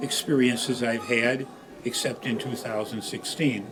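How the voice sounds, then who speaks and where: Amid noticeable background noise and audible room echo, a man talks at a fairly slow pace in a medium pitch. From Chicago, US Midwest. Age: 80s+. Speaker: program member sharing memories. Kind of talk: personal reminiscence speech. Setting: birthday gathering at a center. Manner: halting, many filler uhs.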